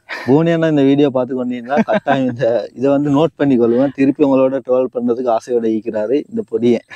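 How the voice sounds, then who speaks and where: Heard dry and close with no echo, an ordinary speaking voice holds very even loudness and ordinary pitch variation. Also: man, medium pitch for a man. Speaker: YouTube interviewer. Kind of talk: interview.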